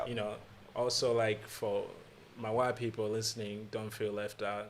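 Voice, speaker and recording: A man talks in a monotone, flat intonation at a medium pitch. Noticeable background noise can be heard. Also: moderate pace. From Rwanda, raised in Malawi. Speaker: stand-up comedian. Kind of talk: podcast interview talk.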